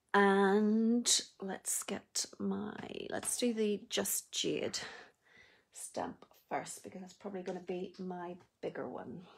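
A woman with a Northern Irish accent speaks at a very slow pace. Her delivery has long, frequent pauses and big swings in loudness. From Northern Ireland. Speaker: craft demonstrator. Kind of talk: live tutorial. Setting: Facebook Live video, online. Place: home room. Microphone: phone near.

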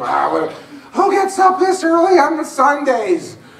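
A man speaks in an animated tone, with audible room echo around him. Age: 30s. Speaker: pastor. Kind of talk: sermon. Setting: church. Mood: comedic, lively storytelling. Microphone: camera far.

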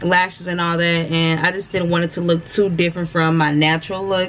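Over light background noise, a woman with a fairly low pitch speaks at a moderate pace. Her intonation is monotone and flat. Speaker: vlogger. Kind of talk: casual vlog chat. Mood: relaxed, chatty. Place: home room. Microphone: phone near.

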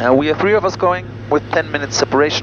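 A man at a fairly quick pace with very wide pitch swings, in a dry sound with no echo and noticeable background noise. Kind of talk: casual vlog chat. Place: plane. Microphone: headset.

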